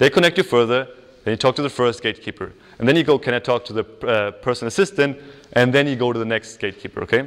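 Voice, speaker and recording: A man talks at a very fast pace. He speaks with a German accent. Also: medium pitch for a man, ordinary pitch variation. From Germany. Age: 20s. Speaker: psychology student and workshop speaker. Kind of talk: workshop talk. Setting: stage with audience. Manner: casual, filler-heavy.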